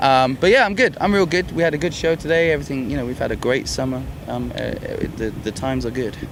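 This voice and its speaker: Speech at a very fast pace comes through noticeable background noise and audible room echo. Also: man. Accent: London. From London, England. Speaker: rock band singer. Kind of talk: casual interview. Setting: music festival backstage.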